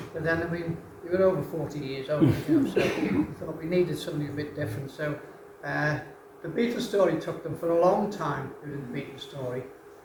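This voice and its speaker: Over noticeable background noise and audible room echo, a man talks at a fairly quick pace in a fairly high pitch. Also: ordinary pitch variation. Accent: Liverpool. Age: 80s+. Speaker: retired rock drummer. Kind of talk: onstage conversation.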